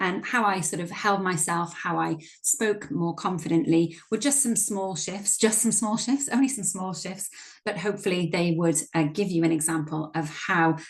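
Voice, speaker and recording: Somewhat breathy, a woman speaks at a fairly quick pace with lively intonation. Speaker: workshop facilitator and coach. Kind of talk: training workshop presentation. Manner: fast.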